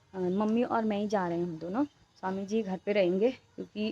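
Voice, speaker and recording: Her voice dark and mellow at a medium pitch, a woman speaks at a moderate pace with ordinary pitch variation. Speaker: family vlogger. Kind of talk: casual vlog talk. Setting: outdoors roadside.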